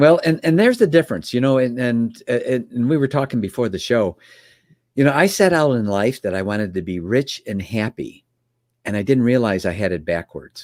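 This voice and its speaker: A man with a Chicago accent speaks at a medium pitch with lively intonation. The recording is very clean, with a silent background. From US Midwest, Chicago area. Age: 60s. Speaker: business mentor. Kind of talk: podcast interview.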